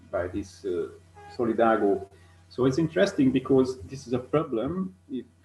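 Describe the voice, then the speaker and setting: Speaking with a Hungarian accent, a man talks at a fairly slow pace. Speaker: ornithologist. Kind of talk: conference presentation. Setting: online video call. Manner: halting, many fillers.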